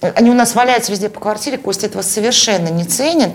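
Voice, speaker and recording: Words come at a very fast pace with ordinary pitch variation. Background noise is noticeable. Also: woman. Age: 40s. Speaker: podcast host and mother of three. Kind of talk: casual interview.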